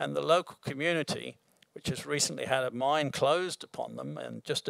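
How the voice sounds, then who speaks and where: A man speaks at a moderate pace against a quiet background, the sound dry with no echo. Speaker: mining project executive; presenter. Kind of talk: presentation. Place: hall. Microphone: podium.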